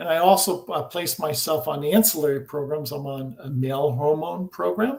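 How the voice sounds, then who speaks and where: A somewhat breathy man's voice at a fairly high pitch, with lively intonation and a moderate pace. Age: 60s. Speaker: scalar energy researcher. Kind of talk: interview. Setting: live video stream.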